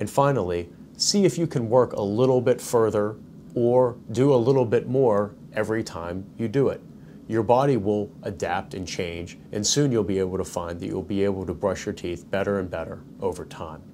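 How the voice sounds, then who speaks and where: Light background noise sits behind a fairly low-pitched man talking at a moderate pace with ordinary pitch variation. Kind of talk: tutorial. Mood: calm, reassuring. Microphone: lapel.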